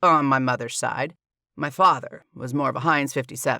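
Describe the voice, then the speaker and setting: On a very clean recording with a silent background, a man does a gruff, rumbling put-on character voice with a fairly high pitch, fairly even intonation, and a moderate pace. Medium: read story. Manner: gruff, grumbling.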